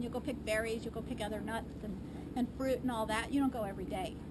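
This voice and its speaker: Loud background noise fills the clip. A woman talks at a very fast pace. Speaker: garden tour guide. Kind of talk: tour explanation. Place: garden. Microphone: camera far.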